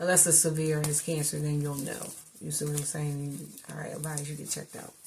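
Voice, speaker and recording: A woman's very deep, low voice with long, frequent pauses, big swings in loudness, noticeable background noise and audible room echo. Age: 50s. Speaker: vlogger / commentator. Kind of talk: casual monologue to camera. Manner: animated.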